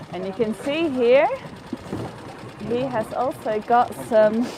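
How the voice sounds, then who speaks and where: A woman with a Faroese accent and a fairly high pitch speaks at a very slow pace. She takes long, frequent pauses, and background noise is noticeable. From Faroe Islands. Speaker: tour guide. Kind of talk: live tour commentary.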